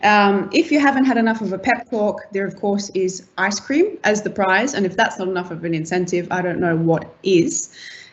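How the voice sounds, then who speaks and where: Talking at a moderate pace with hardly any pauses, a woman with an Australian accent has a medium pitch, lively intonation and a somewhat breathy voice. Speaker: team-building game facilitator. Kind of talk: online event facilitation.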